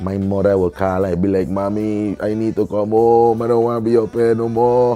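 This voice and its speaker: An animated man with a Virgin Islands accent, fairly low-pitched, at a moderate pace with hardly any pauses, music in the background. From US Virgin Islands, St. Thomas. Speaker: reggae artist. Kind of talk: interview storytelling. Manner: casual, animated.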